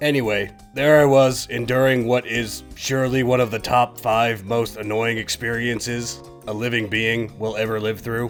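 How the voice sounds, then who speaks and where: A man's cartoonish character voice at medium pitch and a moderate pace, over clear music in the background. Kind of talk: comedic puppet monologue. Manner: casual, deadpan.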